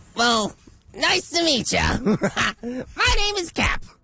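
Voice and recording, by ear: The character voice is put on and pitched high. It moves at a very slow pace.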